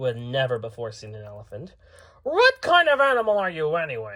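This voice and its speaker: At a fairly quick pace, a man does a put-on character voice pitched fairly high. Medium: read story. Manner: saucy, squawking.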